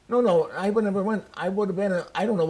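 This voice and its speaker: A man with an American accent, high-pitched and very fast, over noticeable background noise. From Chicago, US Midwest. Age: 90s. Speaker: war veteran. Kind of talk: interview.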